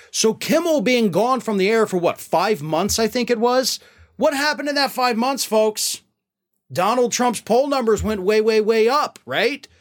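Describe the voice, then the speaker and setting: On a very clean recording with a silent background, a man with a high pitch speaks at a moderate pace in an animated tone, with ordinary pitch variation and very even loudness. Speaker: political commentator host. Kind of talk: news commentary recapping late-night comedy, opinionated. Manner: animated, sarcastic, chuckling at the jokes.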